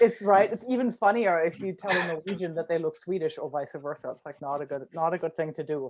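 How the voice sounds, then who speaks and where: Spoken with a German accent, the delivery runs at a very fast pace. There are hardly any pauses. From Germany, Rhineland. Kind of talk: casual chat.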